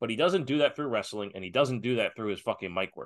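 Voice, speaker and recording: A man speaks with lively intonation and an animated tone. His voice is bright and sharp over a quiet background. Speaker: podcast host guest. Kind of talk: casual chat. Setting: remote call, far away. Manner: animated, joking.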